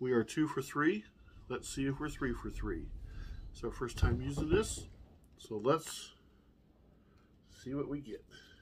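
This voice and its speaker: Speaking at a fairly slow pace with long, frequent pauses, a man is heard over noticeable background noise. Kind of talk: casual cooking demo. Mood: relaxed, upbeat. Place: home room. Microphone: camera far.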